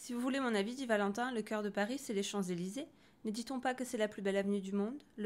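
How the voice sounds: What comes through is a natural reading voice.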